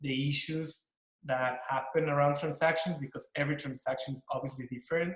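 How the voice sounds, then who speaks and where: A man with a Mexican accent talks in a fairly high voice. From Mexico. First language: Spanish. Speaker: corporate lawyer. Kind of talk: panel discussion.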